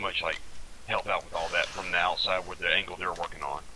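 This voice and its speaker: With an American accent, a man talks through noticeable background noise. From US South. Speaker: gamer leading military-style training. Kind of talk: casual tactical discussion.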